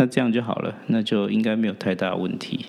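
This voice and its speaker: Speech comes at a moderate pace against noticeable background noise. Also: man. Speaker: podcast host and real estate agent. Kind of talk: personal storytelling monologue.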